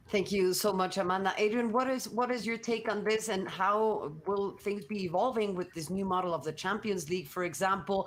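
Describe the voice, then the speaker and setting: In a Spanish accent, a woman at medium pitch talks at a fairly quick pace with ordinary pitch variation and hardly any pauses. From Mexico. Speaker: sports journalist, panel moderator. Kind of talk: panel discussion.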